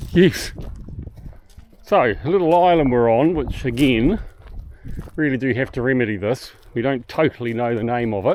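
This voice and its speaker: With a New Zealand accent, a man talks at a moderate pace and medium pitch, his intonation lively and broken by long, frequent pauses. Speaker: boating travel vlogger. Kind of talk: casual vlog narration. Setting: outdoors on an island walk.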